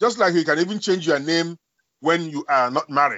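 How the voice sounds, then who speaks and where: A man speaks at a moderate pace with a Nigerian accent. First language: Igbo. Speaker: academic and author. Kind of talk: interview. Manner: halting.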